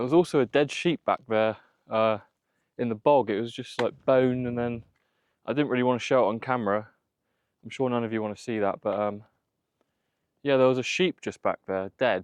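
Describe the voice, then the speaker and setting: Pausing long and often, a man at medium pitch speaks with ordinary pitch variation in a dry, close sound with no echo. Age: 20s. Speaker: outdoor vlogger. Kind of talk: casual talk to camera. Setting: outdoors.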